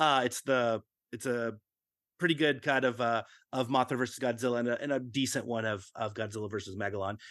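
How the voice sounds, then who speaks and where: A man talks at a fairly quick pace and medium pitch, with fairly even intonation. The background is quiet. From Texas, Fort Worth. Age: 40s. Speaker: convention organizer. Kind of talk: casual interview. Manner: halting, many fillers.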